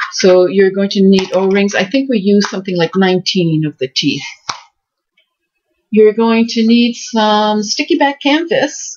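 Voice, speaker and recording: A woman talks at a fairly slow pace, her somewhat breathy voice carrying lively intonation. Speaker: crafting video creator. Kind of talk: tutorial.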